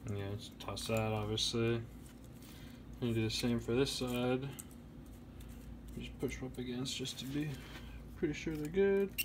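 A man speaks at a medium pitch with ordinary pitch variation and a somewhat breathy sound. His pace is fairly slow, broken by long, frequent pauses. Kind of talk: DIY electronics tutorial narration. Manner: casual, relaxed.

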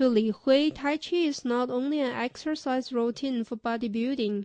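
Against a quiet background, a woman talks at a fairly slow pace in a high pitch with ordinary pitch variation. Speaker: news reporter. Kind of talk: scripted narration.

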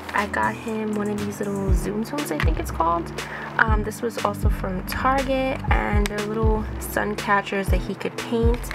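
Clear music in the background behind a woman's moderate pace. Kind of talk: casual haul vlog chat. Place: home room.

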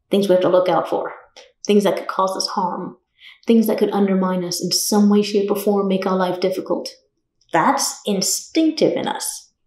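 There is audible room echo. A woman is speaking. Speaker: yoga teacher. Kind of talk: short talk to camera. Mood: calm, warm. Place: home room.

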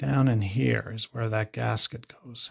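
A man speaks very slowly and somewhat breathily. The background is quiet. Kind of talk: tutorial. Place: workshop. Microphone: phone near.

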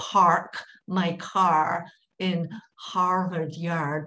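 The voice is a put-on character voice pitched in the middle range.

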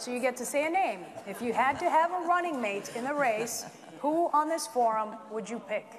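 Light background noise sits behind a woman with a high-pitched voice. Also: lively intonation, moderate pace. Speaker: TV news anchor moderating forum. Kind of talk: debate moderation. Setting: school auditorium with audience. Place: hall.

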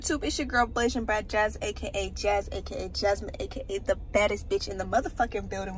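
Speech races along very fast with hardly any pauses, dry with no echo over light background noise. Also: woman. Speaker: vlogger. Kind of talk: casual vlog chat. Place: car. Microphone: phone near.

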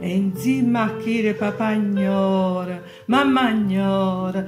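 With music in the background, a woman speaks in an Apulian accent at a very slow pace. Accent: Canosa di Puglia dialect. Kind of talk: poetry reading.

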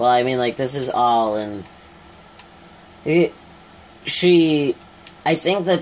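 A man speaks at a fairly slow pace with ordinary pitch variation, with light background noise behind him. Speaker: gamer. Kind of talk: casual gameplay commentary. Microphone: phone near.

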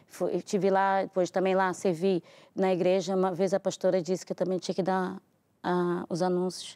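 A woman's medium-pitched voice, dark and mellow in tone, with monotone, flat intonation, in a dry, close sound with no echo on a very clean recording with a silent background. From Brazil, Rio de Janeiro. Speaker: churchgoer giving testimony. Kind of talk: testimony. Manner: fast.

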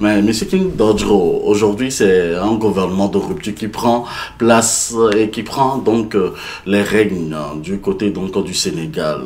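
Pitch varies in an ordinary way. The pace is very slow. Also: man, fairly low pitch for a man. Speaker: talk show host. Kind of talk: panel discussion.

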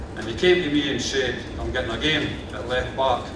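Noticeable background noise and audible room echo accompany a man of medium pitch talking at a moderate pace. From Scotland, Kirkcaldy, Fife. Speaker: local councillor. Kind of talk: ceremonial speech. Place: hall. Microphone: podium.

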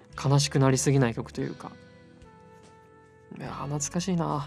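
Music plays in the background as a man speaks in a relaxed tone at a moderate pace. His pitch is medium, with ordinary variation. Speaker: voice actor. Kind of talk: sleep-aid casual talk. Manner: soft-spoken, relaxed.

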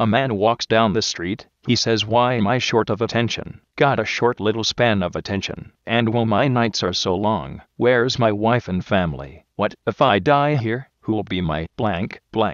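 A man uses a put-on, robotic character voice at a medium pitch, moving at a moderate pace with hardly any pauses. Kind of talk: monotone robotic delivery.

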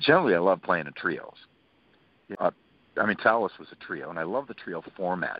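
The man's speech races along. The recording is dry, without any echo. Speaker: interview guest. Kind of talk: interview answer. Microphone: phone line.

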